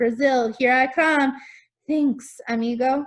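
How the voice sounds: A woman uses a hissing, put-on character voice. It sits high in pitch and moves at a fairly slow pace.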